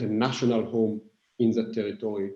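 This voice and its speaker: At a moderate pace and medium pitch, a man speaks with a dark, mellow tone. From Israel. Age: 40s. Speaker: philosopher and author. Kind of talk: Q&A after a book reading. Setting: video call. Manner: halting, many fillers.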